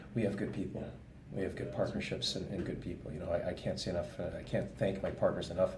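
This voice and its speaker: Very fast male speech with a Canadian accent, audible room echo, and noticeable background noise. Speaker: police detective. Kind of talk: interview. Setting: coffee shop.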